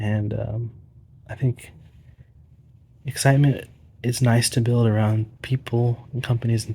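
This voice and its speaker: A soft-spoken, somewhat breathy man with monotone, flat intonation. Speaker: pickleball paddle reviewer. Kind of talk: casual video monologue. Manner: hesitant.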